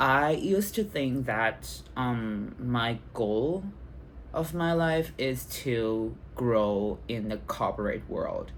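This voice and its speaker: Someone with a Thai accent speaks at a very slow pace on a very clean recording with a silent background. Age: 20s. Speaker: vlogger. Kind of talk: personal vlog. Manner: halting, many fillers.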